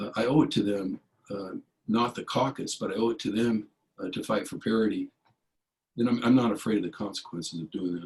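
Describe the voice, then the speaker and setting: This speaker has an American accent and ordinary pitch variation. Long pauses come often. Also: man, medium pitch for a man, fairly quick pace. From US West, California (San Jose East Side). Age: 60s. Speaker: political candidate. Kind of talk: town hall Q&A answers.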